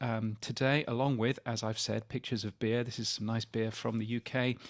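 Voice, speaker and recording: A man speaks with a British accent. His pitch is medium and his pace moderate. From UK. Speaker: podcast industry expert, former radio consultant. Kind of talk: online presentation talk. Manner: halting, many fillers.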